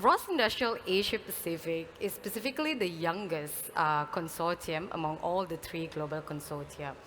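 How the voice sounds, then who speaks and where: Soft-spoken, a woman talks at a moderate pace with hardly any pauses over noticeable background noise. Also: ordinary pitch variation. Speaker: consortium program manager / conference speaker. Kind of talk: conference welcome speech. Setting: stage with audience.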